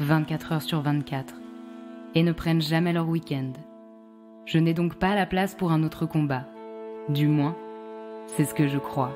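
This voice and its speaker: A woman's very deep, low voice with ordinary pitch variation and long, frequent pauses, music playing in the background. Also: fairly slow pace. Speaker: podcast host. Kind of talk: personal narration intro.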